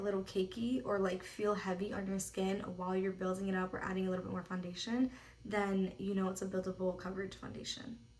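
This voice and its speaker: In an ordinary speaking voice, a woman talks at a fairly quick pace. Her pitch is medium, her intonation fairly even. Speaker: makeup artist. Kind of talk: tutorial. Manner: casual, filler-heavy.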